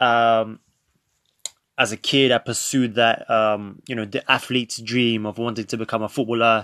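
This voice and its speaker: A man with a London accent speaks at a medium pitch in a bright, sharp tone. His intonation is monotone and flat. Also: moderate pace, dry, close sound with no echo. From North London, England. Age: 20s. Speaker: podcast host. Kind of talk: casual monologue.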